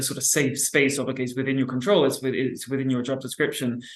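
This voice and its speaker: A man's voice comes through noticeable background noise and audible room echo. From UK/Ireland. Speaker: workplace climate organizing expert. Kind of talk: panel discussion. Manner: stammering, many repetitions.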